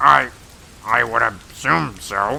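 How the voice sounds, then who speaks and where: A put-on character voice is pitched low. Clear background noise can be heard. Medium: machinima. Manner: stammering, sceptical.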